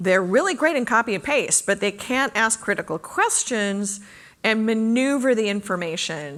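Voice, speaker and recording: With a plain, everyday voice, a woman speaks at a moderate pace and fairly high pitch, her intonation lively. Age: 60s. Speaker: conference speaker. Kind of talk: Q&A after a talk.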